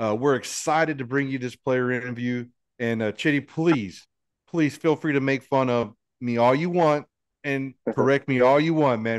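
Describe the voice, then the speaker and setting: A man speaks at a moderate pace, his pitch varying in an ordinary way, with a quiet background behind him. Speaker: sports podcast host. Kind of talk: casual interview. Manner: animated. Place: studio. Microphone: studio mic.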